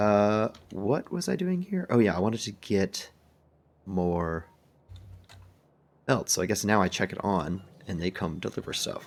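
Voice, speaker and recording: Soft-spoken and fairly low in pitch, a man talks at a fairly slow pace with long, frequent pauses and ordinary pitch variation, on a very clean recording with a silent background. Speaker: gaming video creator. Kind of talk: gameplay commentary.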